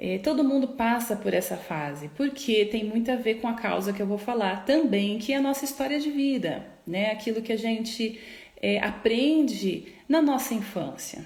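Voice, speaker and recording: A soft-spoken woman's fairly high voice with lively intonation, hardly any pauses and audible room echo. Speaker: psychologist. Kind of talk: live stream talk. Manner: slow.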